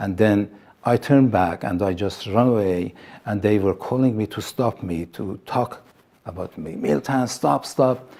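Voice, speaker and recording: With a dark, mellow tone, a man's voice moves through ordinary pitch variation. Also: fairly low pitch for a man. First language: Assyrian (Neo-Aramaic). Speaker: pastor. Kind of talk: testimony. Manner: halting, with fillers and repetitions.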